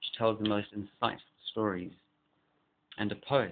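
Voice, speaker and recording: The man's voice sits at a fairly low pitch. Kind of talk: casual talk to camera.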